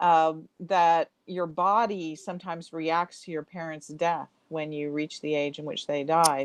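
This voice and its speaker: In an American accent, a woman with a normal speaking voice and fairly low pitch talks at a fairly slow pace with hardly any pauses, her intonation fairly even and her loudness swinging widely, all in a dry, close sound with no echo. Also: quiet background. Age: 60s. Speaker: author. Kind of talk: interview.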